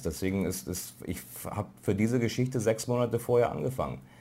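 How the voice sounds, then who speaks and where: Audible room echo surrounds a man talking at a fairly quick pace, his dark, mellow tone at a medium pitch carrying vocal fry and ordinary pitch variation. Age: middle-aged. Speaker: foreign correspondent. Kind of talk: lecture. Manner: halting.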